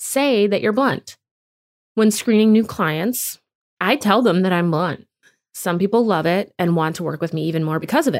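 The recording is very clean, with a silent background. A woman speaks at medium pitch with ordinary pitch variation. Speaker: podcast host. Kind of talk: solo monologue podcast episode. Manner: blunt, straightforward.

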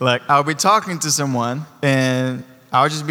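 Animated in tone, a man speaks with a fairly high pitch and a bright, sharp tone. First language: not English. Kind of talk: sermon. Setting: church.

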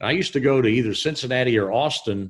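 The recording is very clean, with a silent background. A man speaks with a Southern US accent and ordinary pitch variation. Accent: Southern US drawl. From Southern Illinois / Tennessee. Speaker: stadium announcer. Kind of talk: class Q&A interview.

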